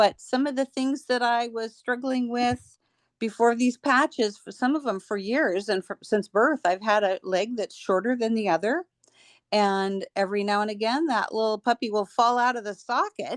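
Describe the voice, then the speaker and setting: In a normal speaking voice, a woman talks at a moderate pace and fairly high pitch with ordinary pitch variation, the sound dry and close with no echo over a quiet background. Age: 60s. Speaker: person sharing product testimonial. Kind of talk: testimony.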